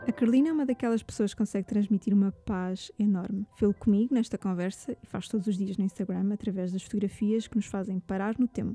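A woman with a medium pitch and a dark, mellow, somewhat breathy tone talks very fast with hardly any pauses and fairly even intonation, in a dry, close sound with no echo against a quiet background. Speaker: podcast host. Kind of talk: casual interview; scripted narration.

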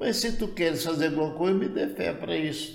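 A man with lively intonation, plus audible room echo. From Goiás, central Brazil. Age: 80s+. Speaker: retired pioneer pastor. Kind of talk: interview testimony.

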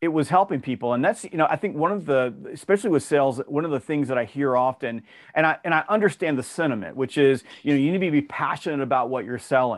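This voice, with a Southern US accent, talks very fast with lively intonation. The background is quiet. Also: man, fairly high pitch for a man. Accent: Southern US (Georgia). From US South, Georgia. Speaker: sales author and trainer. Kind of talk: interview.

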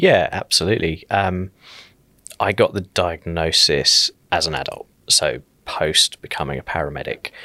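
A man with a southern English accent at a moderate pace, in dry, close sound with no echo. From southern England, South Coast. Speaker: paramedic and paramedicine lecturer. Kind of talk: podcast interview.

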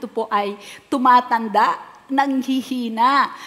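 A woman with an ordinary speaking voice speaks at a fairly slow pace with fairly even intonation. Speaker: pastor. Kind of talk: sermon.

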